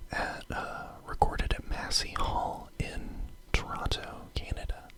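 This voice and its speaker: Someone whispers very slowly while noticeable background noise runs underneath. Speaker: ASMR host. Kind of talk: ASMR whispered record collection show-and-tell. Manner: whispered.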